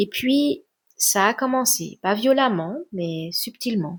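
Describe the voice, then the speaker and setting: Soft-spoken and very slow, a woman talks with lively intonation in a very clean recording with a silent background and a dry, close sound free of echo. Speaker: relationship coach and sophrologist. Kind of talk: introspective podcast talk. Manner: soft, low voice.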